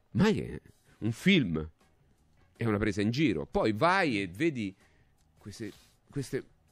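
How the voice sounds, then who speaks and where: With faint music in the background and a dry sound with no echo, a man talks at a fairly slow pace using very wide pitch swings. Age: 60s. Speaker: radio talk show host. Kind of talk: talk show commentary; talk radio commentary. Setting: radio studio, also on TV. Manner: halting, repetitive. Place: studio. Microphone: studio mic.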